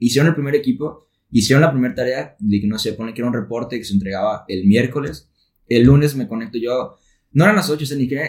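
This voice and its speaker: A man talks at a very fast pace, using a medium pitch and lively intonation. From Mexico, Tepic, Nayarit. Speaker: engineering student. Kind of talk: casual chat.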